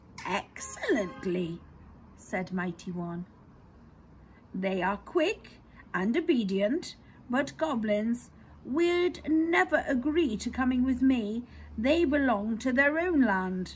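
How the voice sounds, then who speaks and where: High-pitched female put-on character voice with long, frequent pauses and clear background noise. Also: fairly slow pace. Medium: read story. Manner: slow, lordly.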